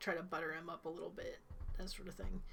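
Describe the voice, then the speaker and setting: A woman speaks in an Ohio accent. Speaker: game master. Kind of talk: tabletop game session.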